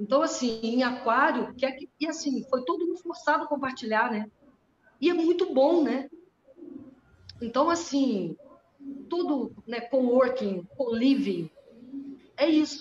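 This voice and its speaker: A woman's high-pitched voice at a fairly slow pace, broken by long, frequent pauses. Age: 60s. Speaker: astrologer. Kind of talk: casual chat. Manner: halting.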